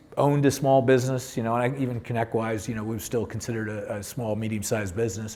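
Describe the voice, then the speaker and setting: Audible room echo surrounds a man as he talks. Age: 60s. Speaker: tech company CEO and software founder. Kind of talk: panel discussion. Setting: stage with audience.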